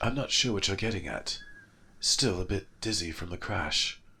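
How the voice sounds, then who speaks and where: Put-on character voice from a man, pitched fairly low and delivered at a moderate pace. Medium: read story. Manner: mild, polite.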